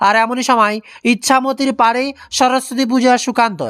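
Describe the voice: The voice has a clear, smooth, fairly bright tone. Intonation stays fairly even at a moderate pace.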